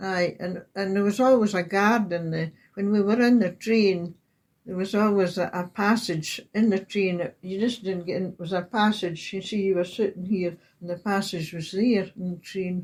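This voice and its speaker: A woman with a Scottish accent, medium in pitch, with fairly even intonation on a very clean recording against a silent background. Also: moderate pace. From Scotland, Highland Perthshire. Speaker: oral history interviewee. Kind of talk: reminiscence interview. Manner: halting.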